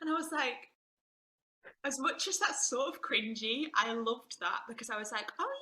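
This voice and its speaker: A woman's raised, projected voice, high-pitched and moving through very wide pitch swings at a moderate pace. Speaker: actor and photographer. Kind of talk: interview. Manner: animated.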